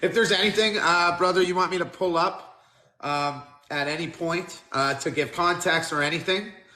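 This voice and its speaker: Speaking at a moderate pace, a man with a high pitch keeps a fairly even intonation, with audible room echo around him. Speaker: interview host. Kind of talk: casual interview.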